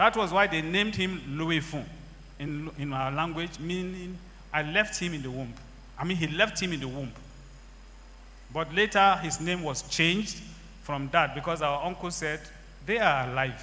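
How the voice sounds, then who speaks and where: A man's fairly high, bright, sharp voice with vocal fry, ordinary pitch variation, a moderate pace and long, frequent pauses. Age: 60s. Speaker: church member giving testimony. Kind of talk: testimony.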